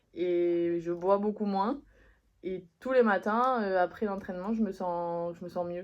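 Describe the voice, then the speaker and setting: Here a woman speaks at a very slow pace. Her medium pitch carries fairly even intonation. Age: 20s. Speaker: student athlete. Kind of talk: interview.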